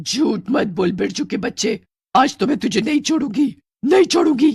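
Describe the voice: A woman performs a put-on character voice at a fairly high pitch, with lively intonation and a moderate pace. Her slightly mellow tone carries vocal fry and a husky, rough edge in a very clean recording with a silent background.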